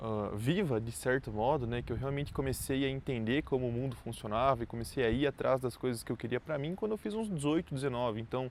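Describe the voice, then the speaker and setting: Hardly any pauses break up the speech. It rushes along very fast. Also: man, medium pitch for a man, ordinary pitch variation. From southern Brazil, Santa Catarina (Chapecó). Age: 20s. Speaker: entrepreneur vlogger. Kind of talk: personal story monologue. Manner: casual, conversational.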